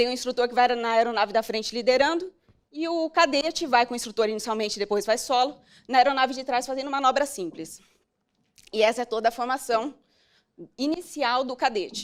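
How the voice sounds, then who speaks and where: Her high-pitched voice moves at a fairly quick pace with ordinary pitch variation. The woman leaves long, frequent pauses. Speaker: military fighter pilot. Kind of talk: motivational talk. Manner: fast.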